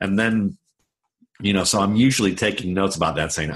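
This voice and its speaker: A man's very deep, low voice at a very fast pace. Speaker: football scout and writer. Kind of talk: interview.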